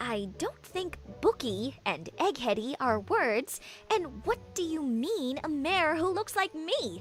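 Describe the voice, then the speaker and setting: A female-sounding cartoonish character voice, pitched high, with clear music playing in the background. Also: fairly slow pace. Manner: precise, articulate.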